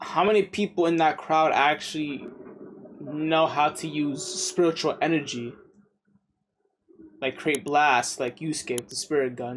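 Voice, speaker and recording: A man speaks at a fairly slow pace in a fairly high voice with ordinary pitch variation, leaving long, frequent pauses. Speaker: anime reaction youtuber. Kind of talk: casual reaction commentary. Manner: animated.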